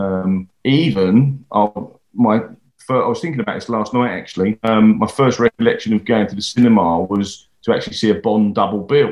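A man with an English accent, fairly low pitch, ordinary pitch variation and a moderate pace. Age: 50s. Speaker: stuntman. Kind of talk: interview.

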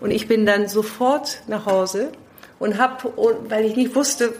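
Noticeable noise fills the background while the woman talks in a fairly high register. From London, England. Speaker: leadership consultant. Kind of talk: interview. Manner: halting with many fillers.

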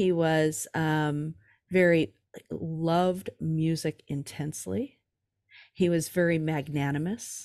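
At a very slow pace with ordinary pitch variation, the voice comes through on a very clean recording with a silent background. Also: woman, very deep, low pitch for a woman. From California. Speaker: drummer and author. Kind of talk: casual interview chat.

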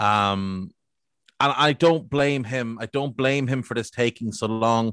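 The man has an ordinary speaking voice at a medium pitch, with ordinary pitch variation. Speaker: football podcaster. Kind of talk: casual chat.

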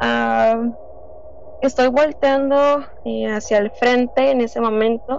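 Her fairly high voice moving at a very slow pace, a woman speaks with fairly even intonation. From Tijuana, Mexico. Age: 20s. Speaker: guest sharing paranormal experience. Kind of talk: testimony.

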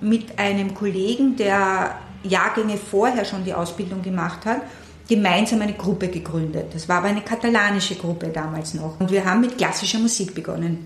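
A woman talks amid clear background noise and audible echo from the room. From Austria, Vienna. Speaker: puppeteer and theatre director. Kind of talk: interview.

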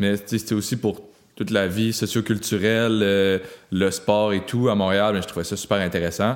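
A man with a normal speaking voice, fairly low in pitch, at a moderate pace, on a very clean recording with a silent background. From Quebec, Haute-Gaspésie. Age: 20s. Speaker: bike shop owner. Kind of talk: casual interview.

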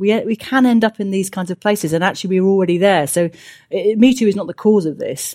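A woman with a British accent talks at a very fast pace, her medium-pitched voice dark and mellow in tone and swinging widely in loudness, on a very clean recording with a silent background. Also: ordinary pitch variation. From UK. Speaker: sociologist. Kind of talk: interview.

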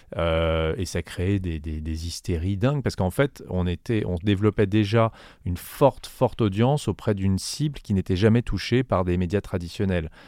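Recorded very cleanly against a silent background, with a dry, close sound and no echo, a man speaks at a moderate pace with a very deep, low pitch, a dark, mellow tone and ordinary pitch variation. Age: 40s. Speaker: music company general manager. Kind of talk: interview. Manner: halting.

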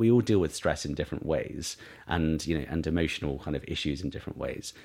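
A man with a southern English accent talks at a very fast pace with lively intonation, on a very clean recording with a silent background. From Isle of Wight, southern England. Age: 30s. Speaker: beauty brand founder. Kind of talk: interview.

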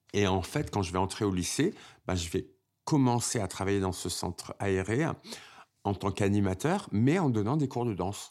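On a very clean recording with a silent background, a man has a plain, everyday voice, fairly low in pitch with ordinary pitch variation. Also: moderate pace. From Paris suburbs and Oise, France, Algerian family. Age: 50s. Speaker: dancer. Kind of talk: personal testimony.

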